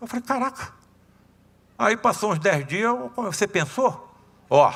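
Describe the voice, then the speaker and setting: A man speaks in a raised, projected voice with a bright, sharp tone. His tone is animated and his intonation lively. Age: 70s. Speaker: surgeon and spiritist lecturer. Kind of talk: lecture. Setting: seminar talk with audience. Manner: animated, conversational.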